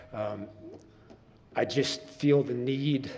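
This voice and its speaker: A man speaks at a very slow pace with an American accent, his pitch medium and its variation ordinary. The room echo is audible, and background noise is noticeable. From New Jersey, Long Branch (Jersey Shore). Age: 60s. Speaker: musician, public commenter at council meeting. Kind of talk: public comment at city council meeting. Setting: council chambers. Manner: halting, with fillers.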